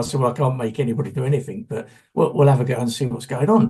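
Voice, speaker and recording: The voice has a dark, mellow tone, ordinary pitch variation and a somewhat breathy sound. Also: man. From London, England. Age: 60s. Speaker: solution-focused therapist. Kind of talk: conference workshop talk. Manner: halting, many repeated words.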